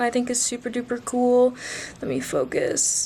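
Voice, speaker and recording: High female voice over noticeable background noise. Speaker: thrift haul vlogger. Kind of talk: casual haul video chat. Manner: animated.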